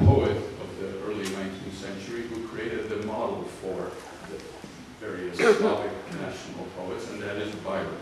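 A man speaks in a fairly low pitch with monotone, flat intonation, amid noticeable background noise and strong room echo. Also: moderate pace. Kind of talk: lecture. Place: hall.

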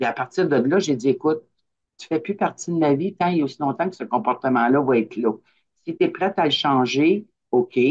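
Speaking at a fairly quick pace, a woman uses a very deep, low pitch. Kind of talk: personal sharing. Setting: video call. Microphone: video call.

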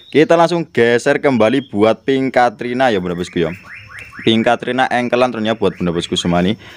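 A man speaks at a fairly quick pace with lively intonation. Light background noise can be heard. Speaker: online plant seller. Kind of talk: street-market sales pitch, rattling off plant prices to viewers. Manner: rapid-fire hawker patter, repeating prices and pet phrases; jokey and playful. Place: garden. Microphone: phone near.

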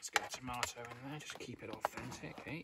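A man at medium pitch, fairly quick, with a bright, sharp tone and ordinary pitch variation.

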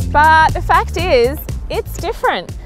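A woman's voice in a dry sound with no echo, with music in the background. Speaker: presenter. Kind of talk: presenter review to camera. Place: open country. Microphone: lapel.

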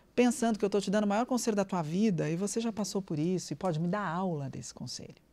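A woman's dark, mellow tone at a fairly quick pace. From Brazil. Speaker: nutritionist; podcast guest. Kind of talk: interview. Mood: somber when recalling father's death. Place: studio. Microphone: studio mic.

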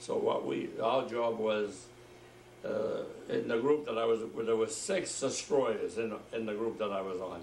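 With audible room echo and light background noise, a man speaks at a fairly slow pace. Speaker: war veteran. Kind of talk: oral history interview. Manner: halting. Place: home room. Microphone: camera far.

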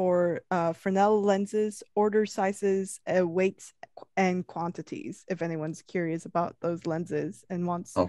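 Against a quiet background with a dry sound and no echo, a woman talks at a fairly slow pace in a dark, mellow tone with ordinary pitch variation. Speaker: webinar moderator reading audience questions. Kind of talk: Q&A moderation. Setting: video call. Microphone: video call.

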